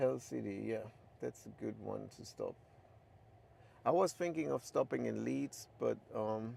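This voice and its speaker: A man with a German accent, fairly slow in pace, with long, frequent pauses. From Germany. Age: 60s. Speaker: livestreamer. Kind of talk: casual livestream monologue. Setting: in a car. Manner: many filler ums.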